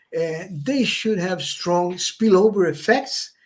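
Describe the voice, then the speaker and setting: A man with a non-native accent speaks at a high pitch. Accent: non-native English, says it's rusty. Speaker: economics professor, panel speaker. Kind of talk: conference presentation. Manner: halting, with false starts.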